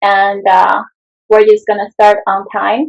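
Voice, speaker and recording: A woman's fairly high voice with fairly even intonation at a very slow pace. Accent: Chinese. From China. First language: Mandarin Chinese. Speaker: roundtable host, activist. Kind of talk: panel discussion opening.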